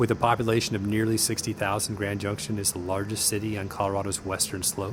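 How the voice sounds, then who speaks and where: Over noticeable background noise, a man talks at a very fast pace. His fairly low voice stays monotone and flat. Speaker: navy fighter pilot. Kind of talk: narration to camera.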